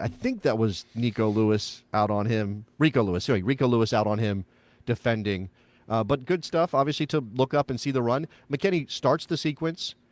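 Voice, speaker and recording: A man with an American accent and a plain, everyday voice talks at medium pitch and a moderate pace with lively intonation. The recording is very clean and dry, close with no echo and a silent background. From United States. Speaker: soccer podcast host. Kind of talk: casual chat. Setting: live show.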